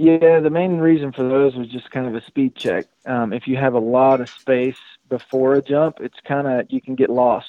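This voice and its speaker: With an ordinary speaking voice, a man holds a medium pitch, a moderate pace and fairly even intonation. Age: 30s. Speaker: professional motocross racer. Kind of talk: casual chat. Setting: phone call.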